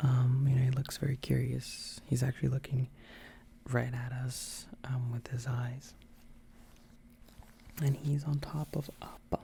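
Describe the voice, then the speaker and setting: Whispering and soft-spoken, the voice moves at a fairly slow pace with long, frequent pauses. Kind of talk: casual chatty show-and-tell to camera. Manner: whispered, soft-spoken.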